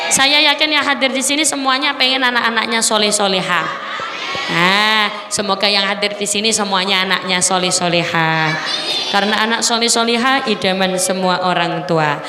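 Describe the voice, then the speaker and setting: A woman talks at a moderate pace and medium pitch, with lively intonation and very even loudness. Room echo is audible, with crowd noise behind her. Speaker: female Islamic preacher. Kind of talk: sermon.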